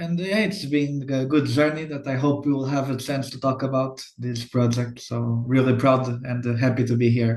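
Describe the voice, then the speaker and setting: A man with a Portuguese accent, somewhat breathy, at a moderate pace with hardly any pauses and fairly even intonation. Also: medium pitch for a man. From Portugal. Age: 20s. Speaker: youth activist. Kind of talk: online panel discussion.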